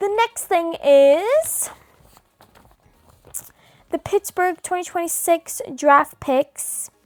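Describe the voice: In a put-on, robotic character voice, a woman speaks very slowly at an extremely high pitch with lively intonation, long frequent pauses, and a dry, close sound with no echo.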